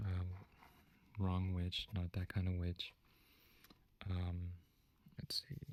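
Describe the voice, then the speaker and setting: A soft-spoken man with a very deep, low pitch, somewhat breathy, at a very slow pace with long, frequent pauses and fairly even intonation. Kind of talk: ASMR teacher roleplay, soft-spoken feedback.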